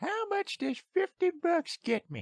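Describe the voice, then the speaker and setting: Going extremely high in pitch, a man performs a squeaky, put-on character voice. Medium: solo performance. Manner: brash.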